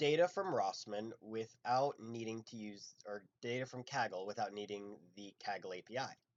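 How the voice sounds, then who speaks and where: A quiet man's voice at a medium pitch with ordinary pitch variation, big swings in loudness and hardly any pauses. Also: moderate pace. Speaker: machine learning instructor. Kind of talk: live coding lecture. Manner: casual with many fillers.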